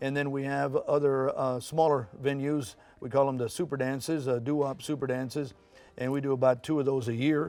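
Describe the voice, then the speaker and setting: Fairly quick, flat, monotone speech from a man with an American accent, music in the background. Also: fairly high pitch for a man. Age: 70s. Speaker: oldies radio show producer and event promoter. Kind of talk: TV interview. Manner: conversational with many fillers.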